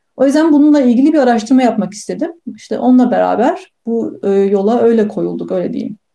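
Fairly high in pitch, a woman's dark, mellow voice moves with lively intonation at a fairly quick pace, with hardly any pauses. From Turkey, Bursa. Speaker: neuroscientist. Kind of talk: interview.

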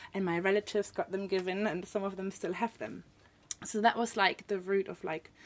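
Using a German accent, a woman speaks at a medium pitch with flat, monotone intonation. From northern Germany. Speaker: artist and illustrator. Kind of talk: casual interview chat. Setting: studio.

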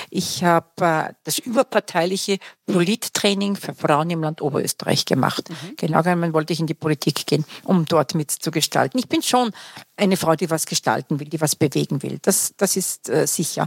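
A woman's normal speaking voice, fairly low in pitch, at a moderate pace, dry and close with no echo. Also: ordinary pitch variation. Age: 60s. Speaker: career coach and academy founder. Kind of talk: interview. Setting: studio.

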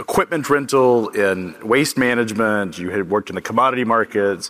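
A man with a plain, everyday voice speaks at a moderate pace, his fairly low pitch showing ordinary pitch variation. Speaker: conference interviewer. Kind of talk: onstage interview. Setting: stage with audience.

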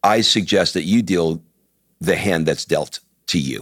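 A man's very deep, low voice with an American accent, ordinary pitch variation and a fairly slow pace. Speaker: podcast host and entrepreneur. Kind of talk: casual chat.

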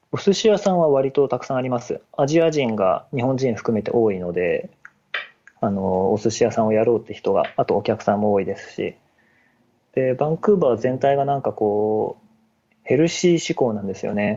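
Here is a man with an ordinary speaking voice at medium pitch. His intonation is lively and his pace moderate. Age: 30s. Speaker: web engineer. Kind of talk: casual chat.

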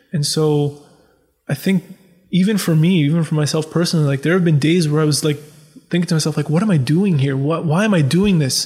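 A man with a Canadian accent speaks at a fairly quick pace, his pitch fairly high. His tone is dark and mellow, with very even loudness and fairly even intonation. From Ontario, Canada (Scarborough and Pickering). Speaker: sports writer. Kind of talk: casual interview chat.

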